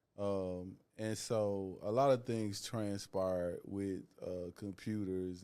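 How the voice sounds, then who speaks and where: Speaking with a Southern US accent, a man uses a very deep, low pitch. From US South. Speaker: author. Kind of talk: casual chat.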